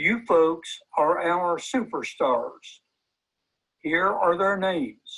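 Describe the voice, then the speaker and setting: Very slowly, a man with a Southern US accent speaks in a high pitch. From US South, Hillsborough County, Florida. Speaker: volunteer recruiter. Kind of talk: event presentation, reading names.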